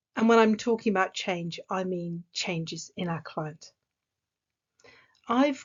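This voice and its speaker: Speaking with an English accent, a woman keeps a moderate pace and lively intonation. Her voice is somewhat breathy. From England. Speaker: executive coach. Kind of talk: recorded conference talk.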